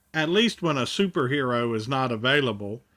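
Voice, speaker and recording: A man puts on a character voice at a medium pitch, moving at a fairly quick pace. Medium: read story. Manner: earnest, explanatory.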